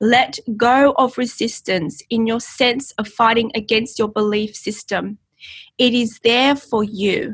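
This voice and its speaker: Speaking at a very slow pace, a woman uses a fairly high pitch in an Australian accent. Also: ordinary pitch variation. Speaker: channeler. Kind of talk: casual chat; channeled message reading.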